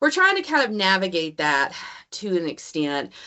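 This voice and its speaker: A woman with a Southern accent speaks at a moderate pace and a fairly low pitch. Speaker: college instructor. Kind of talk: online meeting presentation. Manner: casual, filler-heavy.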